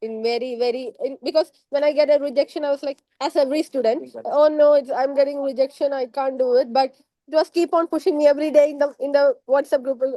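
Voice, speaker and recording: In a Keralan accent, a woman with a high pitch and a dark, mellow tone speaks at a very fast pace with fairly even intonation, the sound dry and close with no echo. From India, Kerala. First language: Malayalam. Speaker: former student, biotechnologist. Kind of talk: interview testimony. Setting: podcast. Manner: halting.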